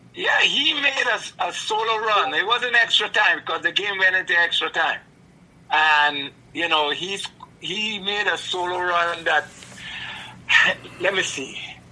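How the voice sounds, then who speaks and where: Against noticeable background noise, a man with a high pitch raises and projects his voice at a fairly slow pace, leaving long, frequent pauses. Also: ordinary pitch variation. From Trinidad. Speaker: podcast guest, host's father. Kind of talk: casual chat. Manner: animated; halting.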